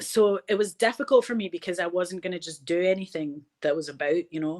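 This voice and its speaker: In a very clean recording with a silent background, a woman with a Glasgow accent speaks at a fairly quick pace in a fairly low pitch, with ordinary pitch variation and big swings in loudness. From Scotland, Glasgow. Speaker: film director and actor. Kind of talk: interview conversation. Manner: animated.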